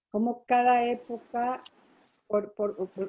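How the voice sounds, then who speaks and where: A woman speaks with a fairly high pitch and ordinary pitch variation. It is a plain, everyday voice. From Mexico City and Toluca. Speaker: photojournalist. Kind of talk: interview.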